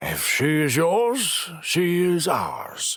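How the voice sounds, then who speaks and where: A man's put-on character voice at a high pitch. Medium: read story. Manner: warm, gruff.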